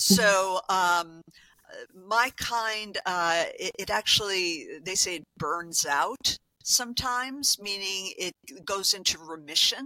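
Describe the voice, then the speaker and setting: Dry and close with no echo, a woman's bright, sharp voice moves at a very slow pace, medium in pitch with ordinary pitch variation. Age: 60s. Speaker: health coach. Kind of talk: interview. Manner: halting.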